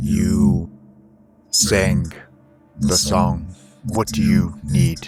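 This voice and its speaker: A man's put-on character voice, croaky and very deep and low in pitch, at a very slow pace with long, frequent pauses and faint music in the background. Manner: flat, no affect.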